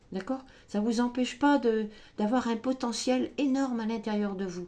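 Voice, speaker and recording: A dark, mellow tone with ordinary pitch variation. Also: woman. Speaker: tarot and oracle card reader. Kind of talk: spiritual guidance reading. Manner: soft-spoken; hesitant, filler-heavy.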